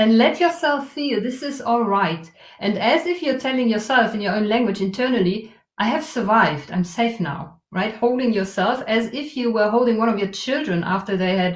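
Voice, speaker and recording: With audible room echo, a woman speaks at a moderate pace with lively intonation and fairly high pitch. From Germany. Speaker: trauma release facilitator. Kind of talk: guided exercise in interview. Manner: soft, gentle.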